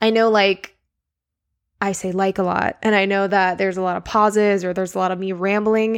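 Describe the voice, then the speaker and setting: A woman mumbles in a medium-pitched voice. The recording is very clean, with a silent background. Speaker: podcast host. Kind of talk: casual solo monologue, podcast intro. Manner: casual, rambling, enthusiastic; filler-heavy, with stutters and mumbles.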